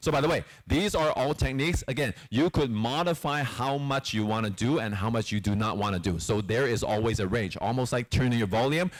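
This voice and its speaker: A man speaks in a medium pitch with an animated tone and lively intonation, at a fairly quick pace. There are hardly any pauses, and his loudness stays very even. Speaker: presentation skills trainer. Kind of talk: training workshop. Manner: fast.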